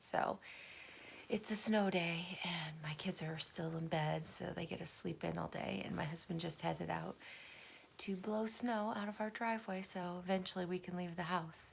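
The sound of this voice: Quiet and raspy, a woman uses a put-on character voice at a fairly low pitch, speaking at a moderate pace with fairly even intonation.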